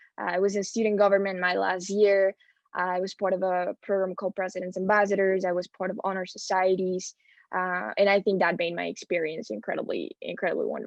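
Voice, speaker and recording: A woman's medium-pitched voice, flat and monotone, at a fairly quick pace. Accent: Spanish. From Spain. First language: Spanish. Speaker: student panelist. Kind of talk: panel talk.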